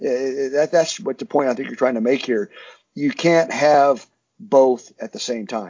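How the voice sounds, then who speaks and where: A man with an American accent speaks in a normal speaking voice at medium pitch, fairly slowly and with lively intonation. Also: big swings in loudness. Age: 60s. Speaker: security contractor, former special forces soldier. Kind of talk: interview.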